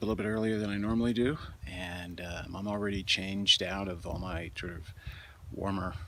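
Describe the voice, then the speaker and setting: A man speaks at a fairly quick pace in a fairly low pitch, his bright, sharp tone carried on fairly even intonation. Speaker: outdoor vlogger, fly fisher. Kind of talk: casual vlog narration. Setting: outdoors, mountain campsite. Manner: halting, many fillers.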